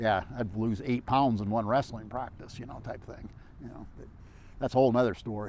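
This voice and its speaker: A man talks in a plain, everyday voice at a medium pitch with ordinary pitch variation. His pace is fairly quick. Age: 60s. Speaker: long-distance hiker and adventurer. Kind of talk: casual interview conversation. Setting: outdoor interview in West Texas. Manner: rambling with fillers and false starts.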